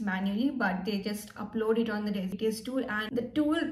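A woman talks at a moderate pace with fairly even intonation. Audible room echo surrounds her voice. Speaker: career vlogger. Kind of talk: casual vlog tutorial. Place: home room. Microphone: phone near.

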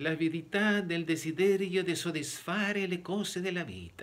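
The speaker talks at a fairly slow pace in a Spanish accent. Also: man. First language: Spanish (speaking Italian). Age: 60s. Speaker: preacher. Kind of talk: sermon. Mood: earnest, explanatory. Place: home room. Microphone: phone near.

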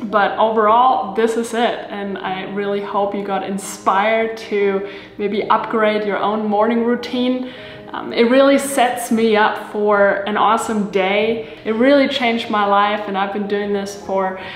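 Over faint background music and audible room echo, a woman speaks at a fairly slow pace with fairly even intonation. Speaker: lifestyle video creator. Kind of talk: casual vlog chat. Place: kitchen.

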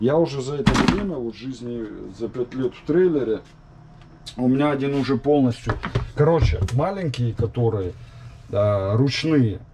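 A man speaks with long, frequent pauses and big swings in loudness. Noticeable background noise runs behind him. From former Soviet Union. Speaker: vlogger; home DIY vlogger. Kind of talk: casual tutorial vlog; tutorial. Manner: casual, filler-heavy. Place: kitchen. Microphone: phone near.

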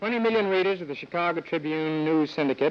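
With an unremarkable speaking voice, a man talks at a fairly quick pace in a fairly high pitch. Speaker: newspaper columnist. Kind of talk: award presentation speech. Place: stage.

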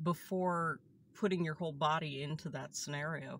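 A woman speaks at a fairly slow pace. The sound is dry with no echo, and light background noise is present. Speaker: vlogger recounting a tour. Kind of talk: casual vlog chat. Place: car. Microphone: phone near.

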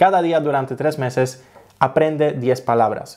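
A fairly slow voice with a Polish accent and ordinary pitch variation, over a quiet background. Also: man. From Poland. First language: Polish (speaking Spanish). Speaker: travel vlogger; language-learning vlogger. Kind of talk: tutorial. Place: home room. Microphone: studio mic.

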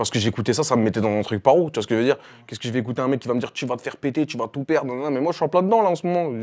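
A man's speech rushes along at a very fast pace, its pitch variation ordinary. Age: 20s. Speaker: rapper; interviewee. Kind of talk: interview. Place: studio. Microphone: lapel.

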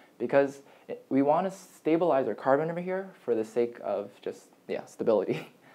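Lively intonation from a man at a moderate pace. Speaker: chemistry tutor. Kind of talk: lecture. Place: home room. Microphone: camera far.

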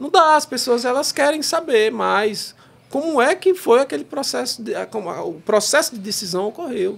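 A man speaks at a fairly slow pace. His pitch is extremely high and swings very widely. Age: 30s. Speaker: federal judge; podcast guest, federal judge. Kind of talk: casual chat. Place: studio. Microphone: studio mic.

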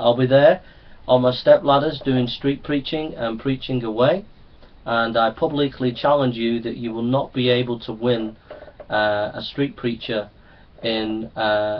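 With a normal speaking voice, a man speaks at a fairly slow pace, medium in pitch, with fairly even intonation. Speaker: street preacher. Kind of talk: public challenge video addressed to camera. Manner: earnest, persuasive, repetitive.

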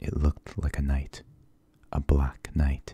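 Soft-spoken and very deep, a man talks in a dark, mellow tone, the sound dry with no echo. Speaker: story reader. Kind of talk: reading a story aloud. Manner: soft, low ASMR reading voice. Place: home room. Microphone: webcam.

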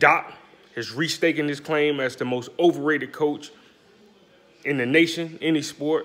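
A man speaks at a moderate pace with a fairly high pitch and fairly even intonation. He leaves long, frequent pauses. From US South, Alabama (Birmingham/Bessemer). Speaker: sports commentator YouTuber. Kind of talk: casual sports commentary vlog. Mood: mocking, opinionated. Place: kitchen. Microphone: phone near.

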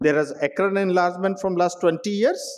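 A man's voice, high in pitch. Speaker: medical professor presenting a case. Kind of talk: lecture. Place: hall.

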